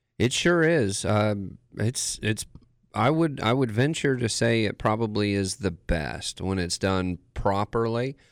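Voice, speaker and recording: Using a normal speaking voice, a man with fairly low pitch and lively intonation speaks at a fairly slow pace on a very clean recording with a silent background. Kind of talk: casual radio chat. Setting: radio studio.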